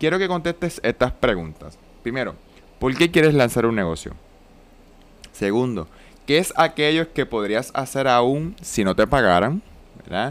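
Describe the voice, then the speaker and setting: Pausing long and often, a man speaks at a fairly slow pace and medium pitch, his voice making very wide pitch swings. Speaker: business mentor and podcast host. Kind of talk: solo podcast monologue.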